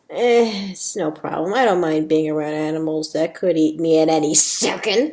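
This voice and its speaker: A woman puts on a rumbling character voice at a very deep, low pitch, speaking at a moderate pace with ordinary pitch variation. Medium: read story. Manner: grumbling, sarcastic.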